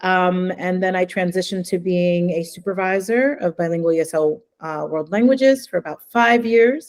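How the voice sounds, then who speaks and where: A New Jersey accent at a moderate pace, with ordinary pitch variation and hardly any pauses. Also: woman, medium pitch for a woman. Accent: New Jersey American. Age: 40s. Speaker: language education consultant. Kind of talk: webinar presentation.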